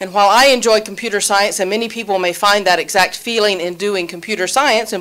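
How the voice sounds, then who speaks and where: A woman speaks in a medium pitch with a Southern US accent. Her intonation stays fairly even. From Alabama. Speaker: college dean and professor. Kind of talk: panel introduction.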